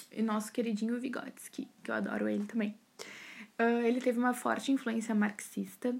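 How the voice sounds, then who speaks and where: The speaker has an unremarkable speaking voice and fairly even intonation. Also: woman. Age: 20s. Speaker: psychology student. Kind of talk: recorded class assignment podcast. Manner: casual, chatty.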